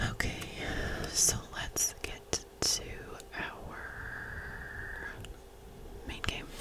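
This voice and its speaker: Whispering at a very slow pace with long, frequent pauses, a woman speaks over noticeable background noise. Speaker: ASMR creator. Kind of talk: ASMR gameplay commentary. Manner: whispered.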